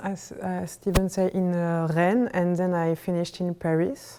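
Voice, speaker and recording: Speaking in a French accent, a woman uses a dark, mellow tone at a medium pitch and a moderate pace. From France, Brittany. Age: 30s. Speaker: artist. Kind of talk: artist talk. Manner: halting.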